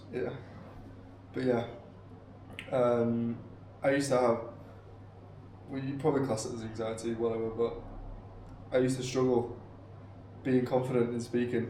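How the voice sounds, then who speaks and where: Against noticeable background noise and audible room echo, a man speaks at a medium pitch. His intonation stays monotone and flat, broken by long, frequent pauses. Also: moderate pace. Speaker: vlogger. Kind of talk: casual chat.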